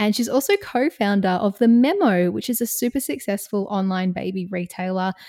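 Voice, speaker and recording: A woman speaks at a medium pitch with an Australian accent and ordinary pitch variation. Her tone is dark and mellow, with a dry, close sound and no echo. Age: 30s. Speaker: podcast host and music presenter. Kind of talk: scripted narration; casual chat. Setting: video call.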